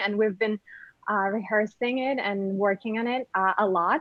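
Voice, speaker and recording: A woman with a Ukrainian accent speaks with ordinary pitch variation. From Ukraine. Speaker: actress and model. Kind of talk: interview. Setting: video call.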